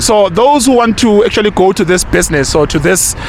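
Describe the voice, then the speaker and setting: A man's high-pitched voice, fairly quick in pace, with lively intonation over noticeable background noise. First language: Zulu. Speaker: YouTube presenter, street interviewer. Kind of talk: casual commentary to camera; street interview. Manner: repetitive, many fillers and restarts.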